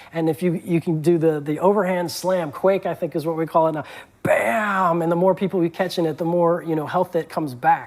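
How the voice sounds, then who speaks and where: Noticeable background noise accompanies talk delivered fairly quickly. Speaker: game developer. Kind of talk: interview. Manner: fast; animated.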